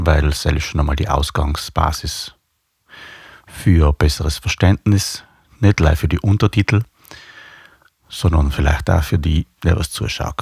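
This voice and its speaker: In a South Tyrolean accent, a man with a very deep, low pitch and a somewhat breathy voice speaks at a fairly slow pace, with ordinary pitch variation, long, frequent pauses, and a dry, close sound with no echo. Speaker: bass player and video blogger. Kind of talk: casual video blog talk. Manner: hesitant, many fillers.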